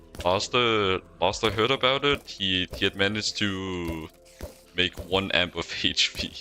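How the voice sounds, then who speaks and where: A man with a non-native accent speaks fairly slowly. His pitch is fairly low. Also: ordinary pitch variation. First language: not English. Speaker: video game streamer. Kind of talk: casual gameplay live stream commentary. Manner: hesitant, many fillers and repetitions.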